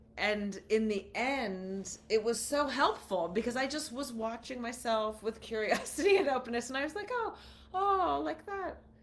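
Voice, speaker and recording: A woman with a high pitch speaks at a moderate pace, her pitch swinging very widely, with noticeable background noise behind her. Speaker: podcast co-host. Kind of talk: casual chat. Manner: halting.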